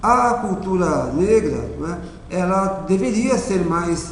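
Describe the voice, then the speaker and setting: Amid noticeable background noise and audible room echo, a man with a high pitch speaks with ordinary pitch variation. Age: 60s. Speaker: teacher and racial equality coordinator. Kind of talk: interview monologue. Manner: measured, with frequent fillers.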